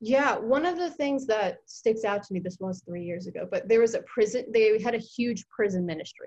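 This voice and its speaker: A woman with an American accent, somewhat breathy, at a moderate pace with ordinary pitch variation. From Virginia (Mechanicsville, Hanover County). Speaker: student writer. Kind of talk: casual interview chat.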